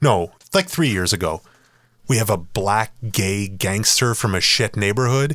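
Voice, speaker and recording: Using an ordinary speaking voice, a man talks at a fairly slow pace and a fairly low pitch, with ordinary pitch variation and very even loudness. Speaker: podcast host and runner. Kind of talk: casual chat. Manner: laid-back, jokey.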